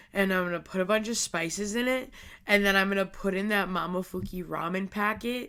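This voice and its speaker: Bright, sharp tone from a woman at medium pitch, fairly even intonation, fairly quick pace, very clean recording with a silent background. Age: 20s. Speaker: podcast host. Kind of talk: casual chat. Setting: at home. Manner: pitch breaking up and down; chatty filler-heavy.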